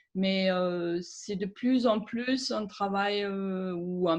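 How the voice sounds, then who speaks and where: With a German accent, a woman speaks at a very slow pace, her medium pitch carried in fairly even intonation. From Germany. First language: German (speaking French). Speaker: aromatherapist and author. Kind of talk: interview. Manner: hesitant, many fillers.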